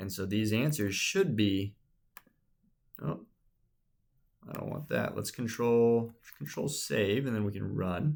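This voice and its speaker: Speaking slowly with long, frequent pauses, a man uses a fairly low pitch and lively intonation. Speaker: instructor. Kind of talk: tutorial.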